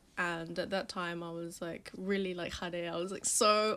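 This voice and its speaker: At a moderate pace, a woman with a London accent speaks at medium pitch with fairly even intonation, in a very clean recording with a silent background. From London, England. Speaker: magazine founder and stylist. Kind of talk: podcast interview. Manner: casual, filler-heavy.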